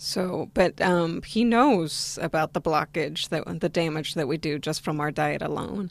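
A woman with an American accent, fairly slow, with ordinary pitch variation and vocal fry. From West Virginia, US, in a Spanish-speaking Argentine family. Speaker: vegan diet success story guest. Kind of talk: interview.

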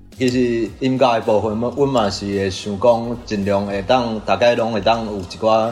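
Amid audible room echo, a man with a fairly low pitch speaks at a fairly slow pace. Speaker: band member, musician. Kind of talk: interview.

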